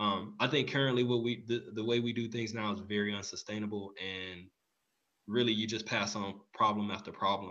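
With an American accent, a man speaks at a fairly quick pace and fairly low pitch. His tone is bright and sharp, his intonation monotone and flat. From Texas, Houston. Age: 30s. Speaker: nonprofit executive director, military veteran. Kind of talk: interview.

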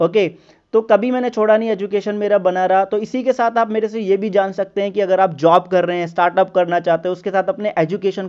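Against a quiet background, a man speaks at a moderate pace in a high pitch for a man, with fairly even intonation. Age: 30s. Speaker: podcast host and sales and finance consultant. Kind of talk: monologue introduction.

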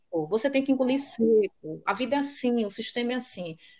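A woman talks at a fairly quick pace in an unremarkable speaking voice, with ordinary pitch variation. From Salvador, Bahia, Brazil. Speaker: teacher and researcher. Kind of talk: casual interview chat.

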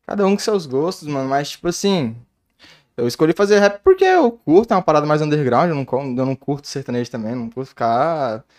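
A man speaks in a plain, everyday voice with a fairly high pitch, lively intonation and a fairly quick pace, recorded dry and close with no echo over a quiet background. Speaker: rapper. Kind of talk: casual chat.

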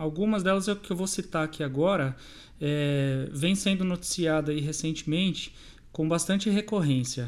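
The man speaking has a high-pitched voice. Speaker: bank cybersecurity and fraud prevention adviser. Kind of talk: interview.

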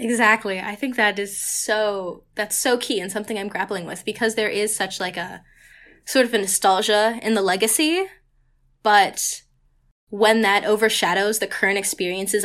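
In a very clean recording with a silent background, a woman uses a normal speaking voice at medium pitch, with fairly even intonation and a moderate pace. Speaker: college student organizer. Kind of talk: casual interview.

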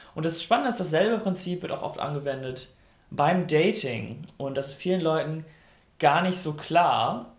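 Audible room echo surrounds a man speaking at a moderate pace, his fairly high pitch carrying lively intonation. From North Rhine-Westphalia, Germany. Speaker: radio host. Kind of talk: casual chat.

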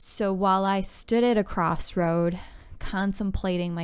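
A woman speaks with an unremarkable speaking voice at a medium pitch. Her pace is fairly slow and her intonation fairly even. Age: 30s. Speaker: podcast host. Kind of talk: personal monologue.

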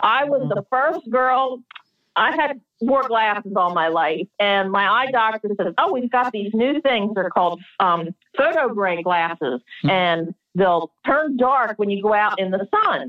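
Speech with an American accent, very even loudness, very wide pitch swings and a fairly slow pace. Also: woman, fairly high pitch for a woman. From Delaware, US. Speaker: craftswoman and photographer. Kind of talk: interview. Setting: remote call.

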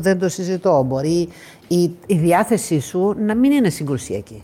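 Noticeable background noise runs under a woman's fairly low voice as she talks at a fairly slow pace. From Greece. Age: 50s. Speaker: athlete. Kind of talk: interview.

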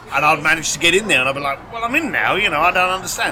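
A man's voice over noticeable background noise. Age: 50s. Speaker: concierge business founder. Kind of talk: interview conversation.

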